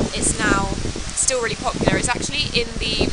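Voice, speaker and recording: A woman speaks at a fairly quick pace. Loud background noise runs underneath. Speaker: travel vlogger. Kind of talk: casual vlog chat. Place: street. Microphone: phone near.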